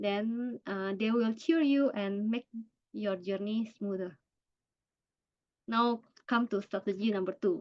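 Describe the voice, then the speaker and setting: With an Indonesian accent, a woman talks at a very slow pace, leaving long, frequent pauses. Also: medium pitch for a woman, ordinary pitch variation. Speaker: cancer survivor and workshop speaker. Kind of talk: online workshop presentation. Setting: video call. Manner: halting.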